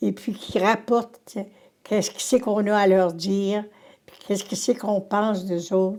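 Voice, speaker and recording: Fairly slow speech in a Quebec accent carries a dark, mellow tone. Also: woman. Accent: rural Quebec French. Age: 80s+. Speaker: retired teacher. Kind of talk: interview. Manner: halting.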